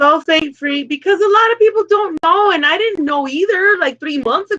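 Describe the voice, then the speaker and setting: A woman talks at a fairly quick pace in an extremely high pitch, her voice raised and projected with a bright, sharp tone. Her intonation is lively, and the sound is dry and close with no echo. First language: Spanish. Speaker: live stream co-host. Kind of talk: casual chat.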